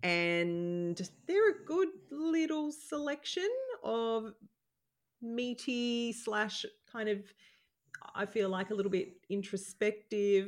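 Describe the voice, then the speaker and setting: Pausing long and often, a woman speaks at a very slow pace while her pitch swings very widely. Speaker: podcast co-host. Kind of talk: casual chat. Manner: lower energy.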